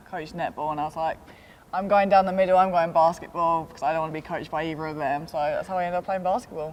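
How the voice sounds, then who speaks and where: Someone speaks at a very fast pace with a British accent. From London, England. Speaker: college basketball player. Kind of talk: interview.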